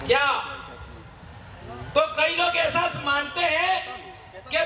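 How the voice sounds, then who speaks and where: A man speaks in a raised, projected voice amid audible room echo and noticeable background noise. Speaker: activist speaker, teacher. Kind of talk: public speech at rally. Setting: stage with crowd in tent. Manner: forceful.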